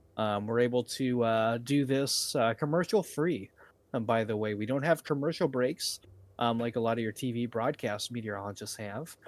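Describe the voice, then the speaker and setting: In a very clean recording with a silent background, a man with an American accent uses a plain, everyday voice at medium pitch, moving at a moderate pace with ordinary pitch variation. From northern Indiana, Wells County. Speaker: storm chaser and live weather streamer. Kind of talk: live weather coverage Q&A. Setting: live stream.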